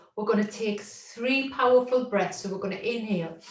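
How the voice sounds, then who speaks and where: A loud woman's voice with ordinary pitch variation, noticeable background noise and audible room echo. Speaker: workshop facilitator and therapist. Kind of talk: guided body-awareness exercise. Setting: video call. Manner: slow, calm instructional pacing. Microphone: far from the mic.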